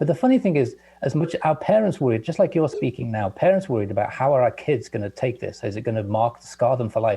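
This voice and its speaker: Racing along at a very fast pace with hardly any pauses, a man speaks at a fairly high pitch with very wide pitch swings. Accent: English. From England. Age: 60s. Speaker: guest scientist. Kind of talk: casual chat.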